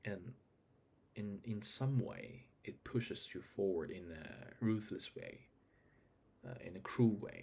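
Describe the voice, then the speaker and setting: A man speaks at a very slow pace with a non-native accent. His voice is somewhat breathy and fairly low in pitch. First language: not English. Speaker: vlogger. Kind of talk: casual monologue. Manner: halting.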